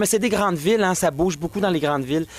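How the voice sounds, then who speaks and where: Speaking with a Quebec accent, a man uses ordinary pitch variation. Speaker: drag performer. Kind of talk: casual interview.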